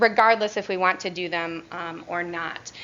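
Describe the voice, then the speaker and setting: A woman speaks loudly at a moderate pace. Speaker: occupational therapist presenter. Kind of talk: presentation / training talk. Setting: room with audience and microphone. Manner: hesitant with fillers.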